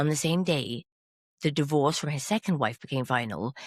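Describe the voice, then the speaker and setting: This very clean recording has a silent background. The voice carries an English accent at a moderate pace. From England. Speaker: podcast host. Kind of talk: casual chat.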